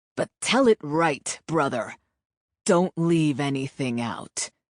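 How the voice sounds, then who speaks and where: A growling, put-on character voice sits at a middle pitch. It moves at a fairly slow pace over a quiet background. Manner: menacing.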